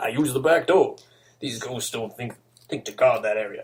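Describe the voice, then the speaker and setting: A man puts on a character voice at a fairly high pitch. His loudness swings widely, and his pace is moderate. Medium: read story. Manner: brash, swaggering.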